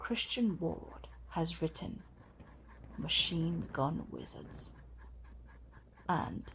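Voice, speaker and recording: Soft-spoken, with a gentle tone and a very slow pace. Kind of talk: ASMR comic review, casual talk to camera. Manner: soft-spoken, gentle.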